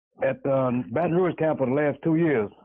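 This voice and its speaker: The voice comes in a Louisiana accent. Its intonation is fairly even. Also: man. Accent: Southern US (Louisiana). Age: 70s. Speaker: caller. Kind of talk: call-in testimony.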